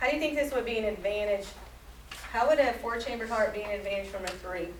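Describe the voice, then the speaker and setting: Over noticeable background noise and audible room echo, a woman with an American accent talks at a very fast pace with ordinary pitch variation. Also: fairly high pitch for a woman. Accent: slight Southern accent, sometimes creeps out. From US South. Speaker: science teacher. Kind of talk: classroom lesson. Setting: classroom with students.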